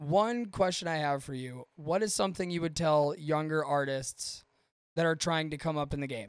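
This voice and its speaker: In an unremarkable speaking voice, the speaker talks at a moderate pace with ordinary pitch variation. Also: man. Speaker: podcast host. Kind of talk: casual interview chat. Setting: video call. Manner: profane, casual.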